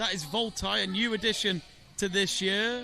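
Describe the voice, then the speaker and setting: Over noticeable background noise, a man with a northern English accent speaks in a raised, projected voice at a moderate pace with ordinary pitch variation. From northern England. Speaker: live event commentator. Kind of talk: live commentary. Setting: live event arena.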